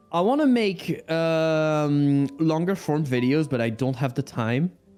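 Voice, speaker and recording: At a fairly slow pace, a man speaks in a fairly high pitch with a dark, mellow tone, ordinary pitch variation and very even loudness. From France. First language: French. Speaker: motion graphics artist and streamer. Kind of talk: casual chat. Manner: halting.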